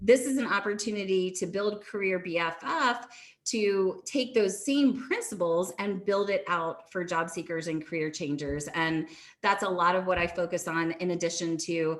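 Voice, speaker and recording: A woman speaks in a normal speaking voice at a moderate pace, her medium pitch carrying ordinary pitch variation. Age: 30s. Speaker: career coach and LinkedIn branding specialist. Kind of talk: guest talk on a community video call.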